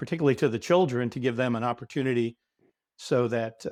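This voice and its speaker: Speaking at a very fast pace, a man with a medium pitch and ordinary pitch variation is heard in a very clean recording with a silent background and a dry, close sound with no echo. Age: 60s. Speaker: company CEO. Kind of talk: interview. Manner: halting.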